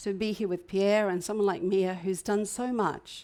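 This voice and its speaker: In an Australian accent, a woman with medium pitch talks at a fairly slow pace with monotone, flat intonation. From Queensland, Australia. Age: 60s. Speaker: hotel manager and entrepreneur. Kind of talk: inspirational talk. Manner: hesitant, with fillers and repetitions.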